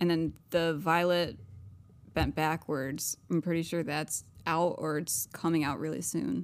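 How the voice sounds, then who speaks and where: Vocal fry marks this fairly slow voice with ordinary pitch variation, heard in a very clean recording with a silent background. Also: woman. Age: 20s. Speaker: podcast co-host. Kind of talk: casual chat.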